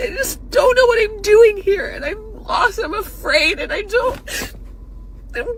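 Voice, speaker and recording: A whiny, put-on character voice at a fairly slow pace over light background noise. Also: woman, extremely high pitch for a woman. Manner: whining, lost.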